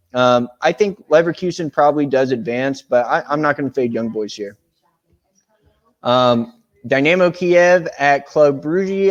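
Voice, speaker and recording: A man's moderately paced speech with a Tennessee accent and ordinary pitch variation. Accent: Southern US (Tennessee). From US South, Tennessee. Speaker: sports betting tipster. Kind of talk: casual betting picks rundown. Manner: casual, with many fillers and false starts.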